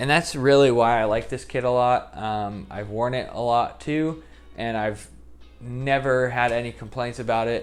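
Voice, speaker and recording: Over music in the background, a man with an American accent talks at a moderate pace, his medium pitch holding fairly even. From Indianapolis, US Midwest. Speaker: YouTuber, football kit collector. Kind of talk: casual vlog talk.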